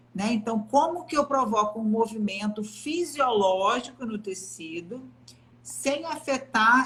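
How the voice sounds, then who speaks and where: A woman uses a normal speaking voice, fairly high in pitch, with ordinary pitch variation and a fairly slow pace. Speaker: physiotherapist. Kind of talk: live stream interview. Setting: online live stream.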